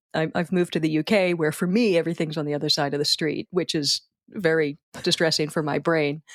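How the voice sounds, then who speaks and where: In a Philadelphia accent, a woman with a very deep, low pitch talks very fast, her loudness very even and her intonation fairly even. The sound is dry and close with no echo, on a very clean recording with a silent background. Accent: Philadelphia American. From US, Philadelphia. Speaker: wedding speech writer. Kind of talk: podcast interview. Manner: halting.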